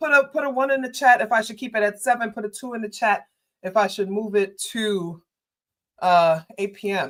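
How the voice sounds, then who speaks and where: In a New York accent, a woman with fairly high pitch talks at a moderate pace, her intonation lively and her loudness swinging widely. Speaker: political commentator and livestreamer. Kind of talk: livestream chat. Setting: livestream. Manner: casual, conversational.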